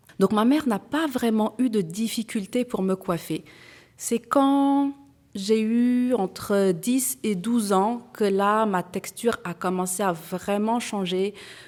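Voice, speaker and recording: On a very clean recording with a silent background, a woman speaks at a very slow pace with a fairly high pitch and ordinary pitch variation. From France. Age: 40s. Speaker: entrepreneur. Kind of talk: testimony. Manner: hesitant, frequent fillers.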